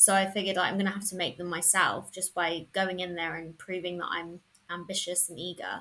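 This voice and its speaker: A woman in a southern English accent, fairly low-pitched, with a bright, sharp tone, monotone, flat intonation and a fairly quick pace. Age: 30s. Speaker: freelance journalist. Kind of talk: casual interview chat.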